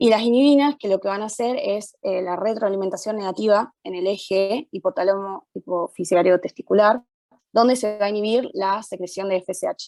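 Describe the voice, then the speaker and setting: Dry and close with no echo, a woman's medium-pitched voice has a dark, mellow tone and ordinary pitch variation. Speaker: medical student leading study group. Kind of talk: student study session explanation. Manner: fast; hesitant, many fillers.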